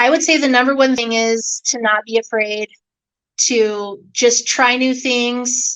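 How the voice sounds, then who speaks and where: A loud woman speaks very slowly with an American accent. Her tone is bright and sharp, and her intonation is monotone and flat. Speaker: car salesperson. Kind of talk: interview.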